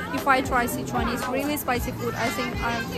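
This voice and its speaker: Loud music plays in the background as a woman speaks. Her voice sounds dry, with no echo. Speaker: travel vlogger. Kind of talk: casual vlog chat. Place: street. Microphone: phone near.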